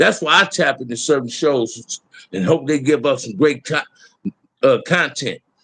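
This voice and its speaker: Here a man with a fairly high pitch talks at a moderate pace. His tone is bright, sharp and animated, with lively intonation. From Los Angeles, US. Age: 60s. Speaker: YouTube livestream host. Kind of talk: casual livestream rant.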